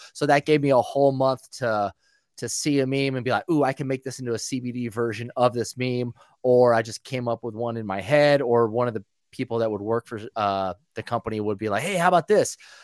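A man talks in an unremarkable speaking voice with an American accent, at a medium pitch and a fairly quick pace, with ordinary pitch variation. The recording is very clean, with a silent background and a dry, close sound without echo. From Northern California. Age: 30s. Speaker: DJ. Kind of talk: casual chat.

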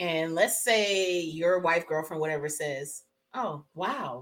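Loud and medium in pitch, a woman's voice comes through. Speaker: podcast co-host. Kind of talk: casual chat.

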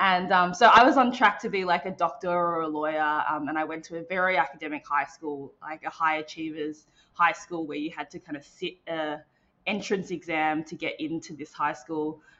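A woman speaks at a moderate pace with a fairly low pitch and an Australian accent. Her loudness swings widely while her pitch varies in an ordinary way. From Melbourne, Australia. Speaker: interactive designer and developer. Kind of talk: casual interview chat.

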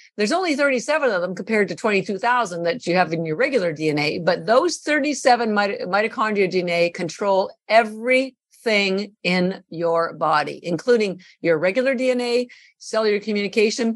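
A woman uses an ordinary speaking voice at a medium pitch, talking at a moderate pace with lively intonation. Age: 60s. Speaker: company founder and nutrition advocate. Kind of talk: interview.

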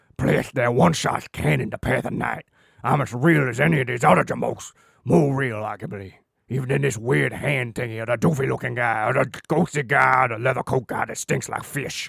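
A man's put-on character voice at medium pitch and a fairly quick pace. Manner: brash, argumentative, streetwise.

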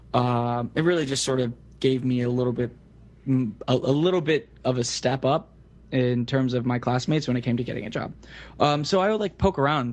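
Speaking at a fairly quick pace, this man has a plain, everyday voice, a medium pitch, an American accent and ordinary pitch variation. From US South, Central Florida (Kissimmee). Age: 20s. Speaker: web developer. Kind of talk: casual interview.

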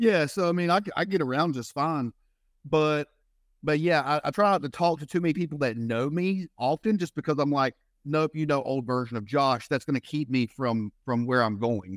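In a Southern US accent, a man with a fairly high pitch and lively intonation speaks in a dry, close sound with no echo, in a very clean recording with a silent background. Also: moderate pace. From US South. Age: 30s. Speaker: fitness and life coach. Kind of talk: interview conversation. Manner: halting, many repeated words.

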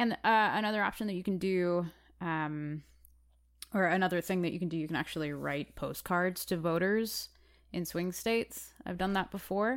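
A normal speaking voice from a woman with an American accent, medium in pitch, with ordinary pitch variation, a moderate pace and a very clean recording over a silent background. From Chicago. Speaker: actor, musician and activist, podcast co-host. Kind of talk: casual chat.

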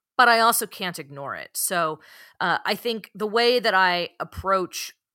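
A woman with an American accent speaks in a bright, sharp tone at a moderate pace. Her pitch varies in an ordinary way on a very clean recording with a silent background. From US West Coast, San Francisco Bay Area. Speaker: novelist. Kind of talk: interview.

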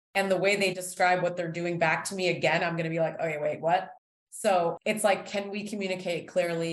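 Delivered in a monotone with flat intonation, the voice carries a Canadian accent and audible room echo. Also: woman. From Toronto, Canada. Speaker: founder of a baking kit business. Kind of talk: interview.

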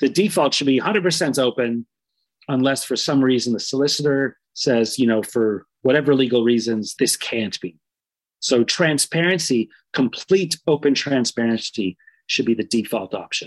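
With a Canadian accent, a man speaks in a plain, everyday voice at a medium pitch and a moderate pace. The sound is dry and close, with no echo. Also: ordinary pitch variation. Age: 40s. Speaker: community organizer and activist. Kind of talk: interview.

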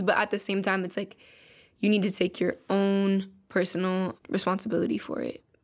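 Here is a woman with an ordinary speaking voice, medium in pitch and moderate in pace. The recording is very clean, with a silent background. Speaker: young poet. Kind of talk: poetry reading and interview.

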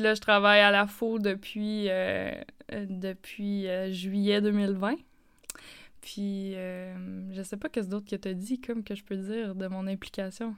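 A woman speaks very slowly at medium pitch, with monotone, flat intonation and long, frequent pauses. Her loudness swings widely. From Northern Ontario, Hearst. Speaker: podcast host. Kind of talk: casual chat.

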